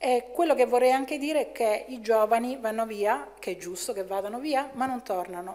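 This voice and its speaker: The woman's speech shows ordinary pitch variation. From Italy. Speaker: chemistry professor. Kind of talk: lecture. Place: hall.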